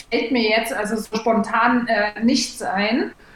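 Against noticeable background noise, a woman talks very slowly with a fairly high pitch and a monotone, flat intonation. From East Germany. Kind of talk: casual chat.

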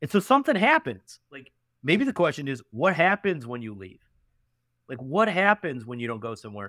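A man with a Western New York accent speaks at a fairly high pitch with very wide pitch swings and a bright, sharp tone. The sound is dry and close with no echo, a very clean recording over a silent background. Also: moderate pace, big swings in loudness. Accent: Western New York (Inland North) American. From upstate New York (Canandaigua, near Rochester). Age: 30s. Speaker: venture capitalist. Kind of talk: casual interview.

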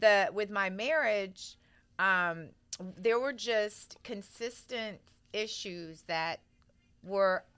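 With an American accent, a woman speaks at a medium pitch in a bright, sharp tone with ordinary pitch variation. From Texas (Central Texas, then Houston). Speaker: podcast host. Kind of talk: casual interview chat.

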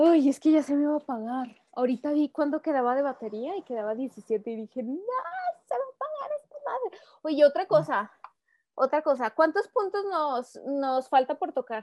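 A woman's high-pitched, lively voice at a moderate pace, with big swings in loudness and a dry, close sound free of echo. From Mexico, Aguascalientes. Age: 20s. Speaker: photographer. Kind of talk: casual interview.

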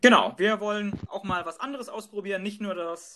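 A man speaks in a raised, projected voice at a moderate pace, his pitch high and his tone bright and sharp, with ordinary pitch variation. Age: 30s. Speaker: podcast co-host, neurologist. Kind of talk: scripted podcast trailer.

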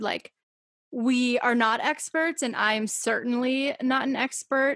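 With an American accent, a woman speaks in a high pitch with fairly even intonation, the sound dry and close with no echo. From Massachusetts, US. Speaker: podcast host. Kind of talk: casual chat. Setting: remote call.

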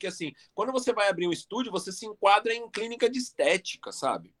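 In a São Paulo accent, a man talks at a fairly quick pace. The sound is dry and close, with no echo. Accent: São Paulo Portuguese (paulistano). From Brazil, São Paulo (East Zone). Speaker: professional body piercer. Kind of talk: casual interview chat.

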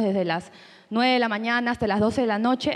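A woman is speaking with fairly high pitch. Her intonation stays fairly even. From Peru. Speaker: audience member. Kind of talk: audience comment. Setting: room with audience.

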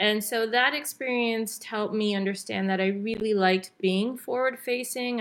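At a moderate pace, a woman with an unremarkable speaking voice talks at a fairly high pitch with ordinary pitch variation. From Canada. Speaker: business development expert. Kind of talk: interview.

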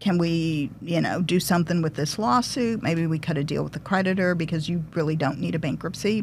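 A woman with an American accent talks at a fairly quick pace with hardly any pauses. Her fairly low voice has vocal fry and ordinary pitch variation. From Detroit, Michigan. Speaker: bankruptcy lawyer. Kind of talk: casual interview.

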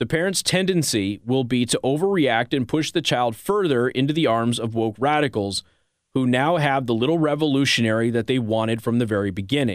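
With an ordinary speaking voice and an American accent, a man talks at a fairly quick pace and medium pitch, his intonation lively and his loudness very even. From Las Vegas, Nevada. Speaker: conservative talk radio host. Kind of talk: talk radio monologue and call-in. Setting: radio studio.

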